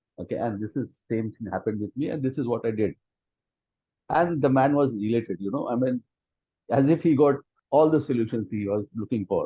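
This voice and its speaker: A man with an Indian accent speaks at a fairly quick pace in a medium pitch, with ordinary pitch variation and long, frequent pauses. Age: 50s. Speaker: friend of the author. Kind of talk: testimony.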